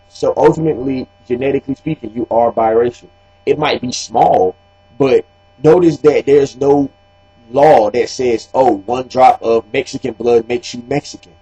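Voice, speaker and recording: With music in the background but a dry, close sound without echo, a man in an American accent speaks at a fairly high pitch with fairly even intonation. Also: moderate pace. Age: 20s. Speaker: video blogger. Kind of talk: casual commentary monologue.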